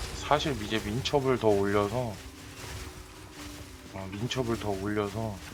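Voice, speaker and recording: Amid noticeable background noise, a man speaks very slowly with long, frequent pauses, a fairly low pitch and fairly even intonation. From Chungcheong Province, South Korea. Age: 30s. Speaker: game streamer. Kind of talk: casual gameplay commentary.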